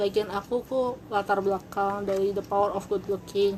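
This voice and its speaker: Her delivery stays monotone and flat in intonation, pitched in the middle range for a woman. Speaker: vlogger. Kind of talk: casual personal storytelling. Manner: halting, many repetitions.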